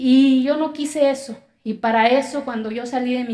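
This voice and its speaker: Her intonation fairly even, a woman talks at a high pitch. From Mexico, Zapotec community in Oaxaca. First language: Zapotec (speaking Spanish). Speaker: public speaker, accountant. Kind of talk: testimony speech.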